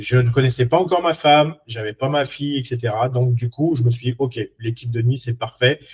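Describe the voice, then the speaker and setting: In a somewhat breathy voice, a man talks at a medium pitch. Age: 40s. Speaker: career coach, former mechanic. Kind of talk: personal story monologue. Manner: hesitant, many fillers.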